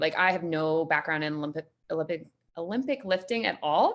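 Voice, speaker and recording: In a very clean recording with a silent background, a woman with a Canadian accent speaks at a very fast pace. Her pitch is fairly low, with ordinary pitch variation. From Canada, Saskatchewan (Saskatoon). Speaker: gym member, digital marketer. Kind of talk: casual interview. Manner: casual.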